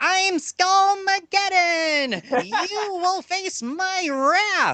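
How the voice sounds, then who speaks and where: Someone puts on a character voice with extremely high pitch. The pace is very slow. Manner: menacing, exaggerated.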